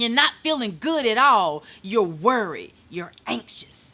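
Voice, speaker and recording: In a Southern US accent, a woman speaks very slowly in a fairly high pitch, her tone bright and sharp and her pitch swinging very widely. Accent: Southern twang. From eastern North Carolina. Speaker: motivational speaker. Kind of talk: casual chat.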